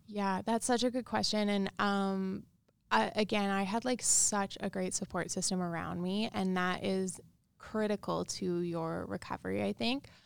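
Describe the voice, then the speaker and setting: With a plain, everyday voice, a woman speaks at a moderate pace and medium pitch with ordinary pitch variation on a very clean recording with a silent background. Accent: Canadian. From Saskatchewan, Canada. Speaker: wellness business founder. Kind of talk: interview.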